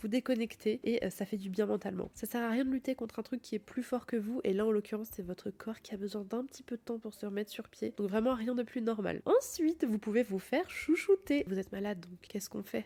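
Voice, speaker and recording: Hardly pausing, a woman speaks at a fairly quick pace in a somewhat breathy, fairly high voice with ordinary pitch variation. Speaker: podcast host. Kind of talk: casual podcast talk. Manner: soft-spoken, cosy.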